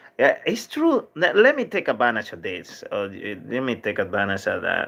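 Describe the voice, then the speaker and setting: Over a quiet background, a man talks with a Dominican accent. His pace is moderate. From Dominican Republic. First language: Spanish. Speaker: livestream vlogger. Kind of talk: casual livestream chat reading viewer comments. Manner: halting, many fillers and restarts.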